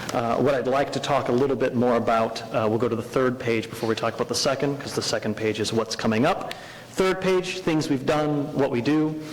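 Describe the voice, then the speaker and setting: A man talking at a fairly quick pace with hardly any pauses, over noticeable background noise. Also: medium pitch for a man, ordinary pitch variation. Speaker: educational program director. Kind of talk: presentation to a school board. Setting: school board meeting. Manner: loud; filler-heavy, hesitant.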